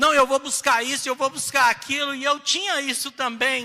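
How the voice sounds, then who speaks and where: A man speaks in a raised, projected voice at a moderate pace. His tone is bright and sharp. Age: 60s. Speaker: pastor. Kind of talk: sermon.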